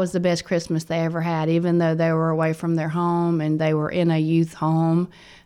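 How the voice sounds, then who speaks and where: A woman speaks with a Southern US accent. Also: very clean recording, silent background. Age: 50s. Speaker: youth home director. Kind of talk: interview. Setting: studio.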